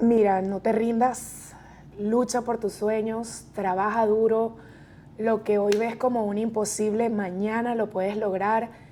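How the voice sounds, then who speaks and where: A very slow, monotone voice with flat intonation, in a Venezuelan accent. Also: woman, fairly high pitch for a woman. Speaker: real estate agent. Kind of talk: interview testimony.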